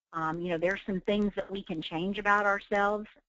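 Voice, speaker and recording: Speaking with an Oklahoma accent, a woman talks at a medium pitch. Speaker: real estate trainer. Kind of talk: webinar training.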